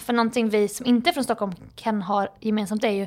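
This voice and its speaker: Against a silent background, the recording is very clean. A woman speaks with fairly even intonation in a plain, everyday voice. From Jönköping, Småland, Sweden. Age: 30s. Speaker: comedian and social media creator. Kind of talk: casual chat.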